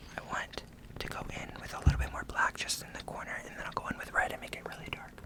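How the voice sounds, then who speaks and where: Whispering at a very fast pace, the voice makes big swings in loudness against noticeable background noise. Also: man. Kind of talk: casual talk to camera. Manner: soft-spoken, whispered.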